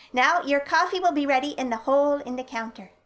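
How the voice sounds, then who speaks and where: Someone performs in a put-on character voice at a very fast pace. The pitch varies in an ordinary way. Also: woman, high pitch for a woman. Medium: read story. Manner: patient, precise directions.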